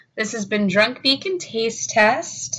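A woman speaks at a very slow pace. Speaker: home video host. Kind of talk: casual vlog chat. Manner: tipsy, loose drunken speech. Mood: tipsy, playful sign-off. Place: home room. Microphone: webcam.

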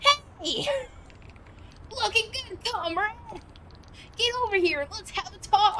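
Against clear background noise, a woman uses a put-on character voice at an extremely high pitch, talking at a fairly slow pace with long, frequent pauses. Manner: hearty, bossy, welcoming.

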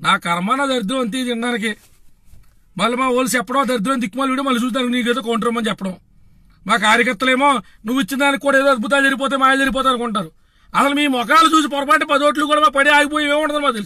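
In a raised, projected voice of extremely high pitch, a man sounds animated, his tone bright and sharp, with ordinary pitch variation. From Andhra Pradesh, Bhimavaram. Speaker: political party activist. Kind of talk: political rant.

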